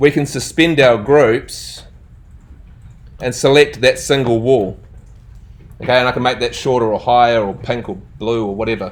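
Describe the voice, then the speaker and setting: Pausing long and often, a man talks at a medium pitch with ordinary pitch variation. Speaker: architecture software teacher. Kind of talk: live workshop lecture. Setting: classroom with students. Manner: fast; casual, conversational.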